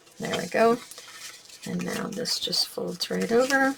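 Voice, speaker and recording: A woman's fairly high voice at a fairly slow pace, with noticeable background noise. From Canada. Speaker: crafting tutorial host. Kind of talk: tutorial. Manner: casual, chatty.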